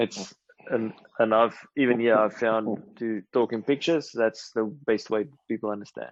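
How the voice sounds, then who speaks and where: A man's medium-pitched voice with fairly even intonation and a South African accent. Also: moderate pace. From South Africa, Mpumalanga. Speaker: mechanical engineer, safety speaker. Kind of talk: webinar presentation. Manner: halting.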